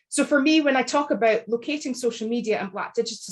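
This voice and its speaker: With a Scottish accent, a woman talks fairly quickly and varies her pitch in an ordinary way. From Scotland. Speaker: academic author. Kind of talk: book launch panel talk. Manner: measured, articulate.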